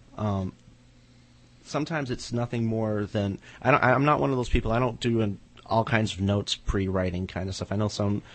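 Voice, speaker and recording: Fairly low in pitch, a man speaks at a fairly quick pace with ordinary pitch variation. He has an unremarkable speaking voice. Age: 30s. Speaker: horror writer. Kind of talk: casual chat. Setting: studio.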